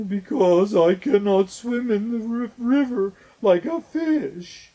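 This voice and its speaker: In a put-on character voice, the speaker talks very slowly at a fairly high pitch. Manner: sad.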